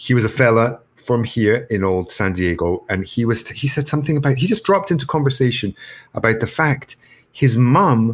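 Somewhat breathy, a man speaks at a medium pitch. His intonation is lively. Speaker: podcast co-host. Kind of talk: casual comedic chat. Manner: animated, rambling storyteller.

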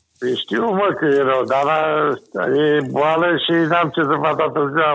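In a normal speaking voice, a man talks at a fairly slow pace and a fairly high pitch, with ordinary pitch variation. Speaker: caller. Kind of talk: casual chat. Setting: phone call.

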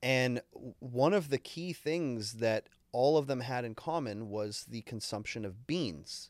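A man with an unremarkable speaking voice and a medium pitch talks at a fairly slow pace with lively intonation and hardly any pauses. The recording is very clean, with a silent background. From Canada. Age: 30s. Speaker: podcast co-host, music engineer. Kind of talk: casual chat.

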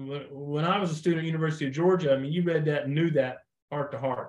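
This man has an American accent and a fairly high pitch, his voice somewhat breathy with fairly even intonation. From US Midwest, Missouri Ozarks. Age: 60s. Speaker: deer biologist. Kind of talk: podcast interview.

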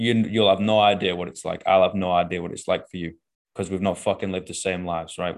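A man speaks with a Manchester accent at a fairly quick pace. His pitch is very deep and low, and his tone is animated. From northern England. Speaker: coach and podcast host. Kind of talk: casual chat. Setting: video call. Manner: animated, swears freely.

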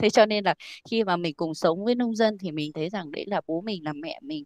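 Delivered at a moderate pace with lively intonation, the voice has a dry, close sound with no echo over a quiet background. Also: woman. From Vietnam, rural hill region. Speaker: organic farming company staff. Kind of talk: interview.

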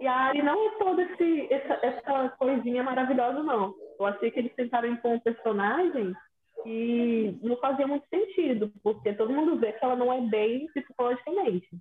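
With lively intonation and a high pitch, a woman speaks at a moderate pace. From Espírito Santo, Brazil. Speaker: podcast co-host. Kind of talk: casual chat.

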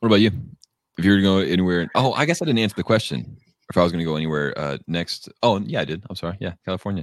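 A man talks very fast with lively intonation. His pitch is very deep and low. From Texas. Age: 20s. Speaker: motorcycle rider. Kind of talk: casual chat. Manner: halting.

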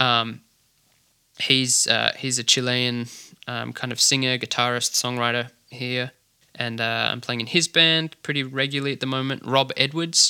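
With an Australian accent, a man speaks at a moderate pace in a medium pitch, his bright, sharp tone held in a monotone, flat intonation. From Australia, Adelaide. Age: young. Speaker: drummer. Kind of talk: interview. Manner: hesitant, many fillers.

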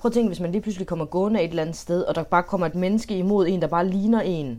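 A woman with a dark, mellow tone speaks at a medium pitch and with fairly even intonation. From Denmark. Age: 20s. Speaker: home care worker, adoptee. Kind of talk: casual chat. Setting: video call. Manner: halting, repeats words.

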